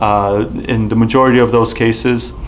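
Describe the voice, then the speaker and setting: Over light background noise, a man speaks at a fairly slow pace with monotone, flat intonation. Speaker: presenter. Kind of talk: tutorial. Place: studio.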